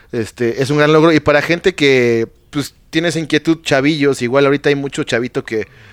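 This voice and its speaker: In an unremarkable speaking voice, a man talks at a fairly quick pace with fairly even intonation, the sound dry and close with no echo and the recording very clean over a silent background. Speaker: podcast host. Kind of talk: casual chat.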